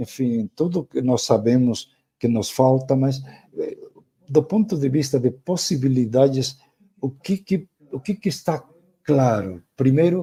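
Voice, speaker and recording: Speaking at a fairly slow pace with long, frequent pauses, a man uses lively intonation at a medium pitch. His voice is somewhat breathy, with a dark, mellow tone. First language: Spanish (speaking Portuguese). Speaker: professor. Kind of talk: lecture. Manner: halting, with repetitions and fillers.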